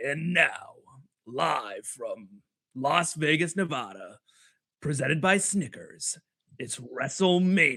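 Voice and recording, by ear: Using a put-on character voice, a man speaks at a high pitch and a fairly slow pace. He takes long, frequent pauses.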